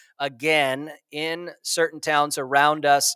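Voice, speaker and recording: A man's fairly high, bright and sharp voice with an American accent, dry and close with no echo, on a very clean recording with a silent background. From Nashville, Tennessee (US South). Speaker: missionary and podcast host. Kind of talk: solo podcast monologue. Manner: casual with many fillers.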